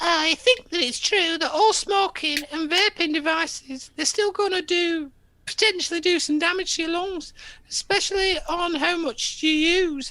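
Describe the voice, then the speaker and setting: A put-on character voice, squeaky and extremely high in pitch, speaks at a moderate pace. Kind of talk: quoting a statement in silly voice. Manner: mocking, stupid exaggerated voice.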